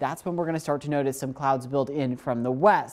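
The background is quiet as a man talks. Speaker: TV meteorologist. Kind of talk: televised morning weather forecast. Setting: TV studio. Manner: upbeat, friendly presenter walking viewers through the map; conversational with a light laugh. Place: studio.

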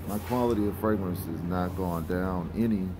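Over noticeable background noise, a man with a very deep, low voice talks at a moderate pace with ordinary pitch variation. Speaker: fragrance oil seller. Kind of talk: casual vlog chat. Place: shop. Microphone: phone near.

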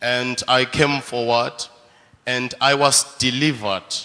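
A man speaks very slowly, keeping his intonation fairly even. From South Africa. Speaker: church member. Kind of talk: testimony. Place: church. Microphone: handheld.

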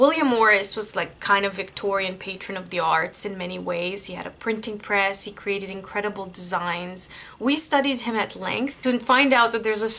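A woman speaks at a moderate pace with ordinary pitch variation and hardly any pauses. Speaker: booktube vlogger. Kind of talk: casual vlog chat. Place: home room. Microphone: webcam.

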